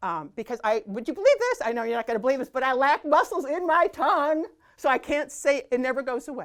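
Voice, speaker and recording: Animated and high-pitched, a woman speaks at a very fast pace. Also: lively intonation. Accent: US Midwestern. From US Midwest, Hobart, Indiana. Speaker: former TV fitness host and athlete. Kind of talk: interview conversation.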